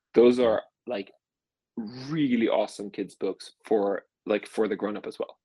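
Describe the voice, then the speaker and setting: With a Swedish accent, a man talks at a moderate pace with long, frequent pauses, in a dry, close sound with no echo. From Sweden, small rural place. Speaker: venture capital investor. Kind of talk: casual interview.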